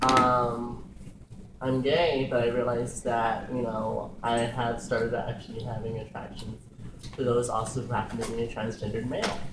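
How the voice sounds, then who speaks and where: Monotone, flat delivery from a man at a moderate pace, with audible room echo and noticeable background noise. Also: medium pitch for a man. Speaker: drag performer. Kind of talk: casual group discussion.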